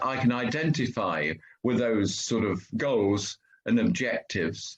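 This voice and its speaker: A man speaks at a medium pitch with very wide pitch swings. Vocal fry runs through his voice. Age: 70s. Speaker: coaching client. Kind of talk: testimonial interview. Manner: halting.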